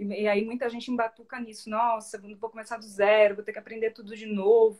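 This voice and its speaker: Fairly quick female speech over a quiet background. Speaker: guest, coach. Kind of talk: interview answer. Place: home room. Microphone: video call.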